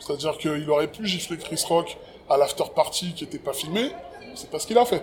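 A man's fairly quick speech with ordinary pitch variation and big swings in loudness over noticeable background noise. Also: fairly high pitch for a man. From France, Paris banlieue (early childhood in Cameroon). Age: 40s. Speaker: rapper and writer. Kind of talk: casual interview conversation. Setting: outdoors.

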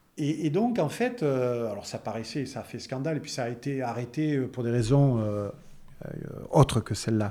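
A man's voice has a dark, mellow tone and ordinary pitch variation. He speaks at a moderate pace. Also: medium pitch for a man. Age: 60s. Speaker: biologist and entrepreneur. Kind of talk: interview. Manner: hesitant, repeats words.

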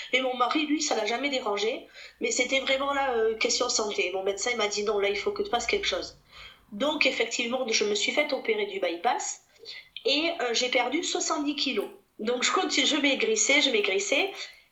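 A woman speaks at a high pitch with very wide pitch swings. Audible room echo and noticeable background noise surround her. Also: moderate pace. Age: 30s. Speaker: private detective and mother. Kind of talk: testimony.

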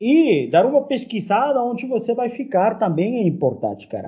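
In a Spanish accent, the speaker talks at a fairly slow pace with lively intonation. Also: man. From Peru. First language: Spanish (speaking Portuguese). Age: 40s. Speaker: university professor. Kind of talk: casual chat.

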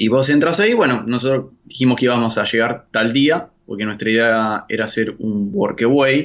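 Speaking with an Argentine accent, a man at medium pitch keeps a moderate pace with hardly any pauses and ordinary pitch variation. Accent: Argentine Spanish (Rioplatense). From Argentina. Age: 30s. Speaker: journalist living abroad on working holiday visa. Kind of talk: interview. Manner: halting, frequent word repetitions.

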